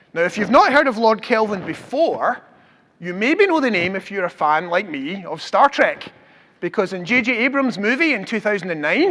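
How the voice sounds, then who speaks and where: A man's raised, projected voice with a Scottish accent, high-pitched, with very wide pitch swings at a moderate pace. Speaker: professor. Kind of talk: public science lecture.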